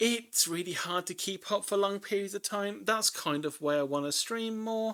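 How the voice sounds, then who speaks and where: The speech moves at a moderate pace with hardly any pauses. The recording is very clean, with a silent background. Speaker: livestreamer doing figure drawing. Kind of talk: casual live-stream chat. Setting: live stream. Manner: rambling with repeated filler words.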